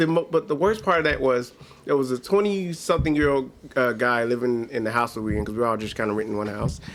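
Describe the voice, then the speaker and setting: Very fast talking with lively intonation is heard against noticeable background noise. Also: man, medium pitch for a man. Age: 40s. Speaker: comedian. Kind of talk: casual chat.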